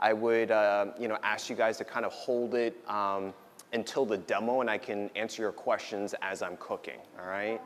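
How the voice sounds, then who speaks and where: A man with a New Jersey accent. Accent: New Jersey American English. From US Northeast, New Jersey. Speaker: doctor giving a talk. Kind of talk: lecture. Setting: stage with audience at a potluck. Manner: loud.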